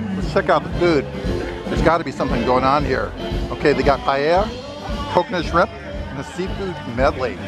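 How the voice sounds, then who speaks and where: A man talking at a fairly quick pace, dry with no echo, with clear music in the background. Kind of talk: casual vlog chat. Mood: upbeat, enthusiastic. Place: market. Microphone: phone near.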